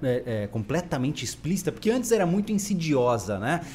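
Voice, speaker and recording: The speaker uses vocal fry and very wide pitch swings while keeping a moderate pace. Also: man. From Brazil. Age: 20s. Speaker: podcast host. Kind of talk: casual chat. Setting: live stream.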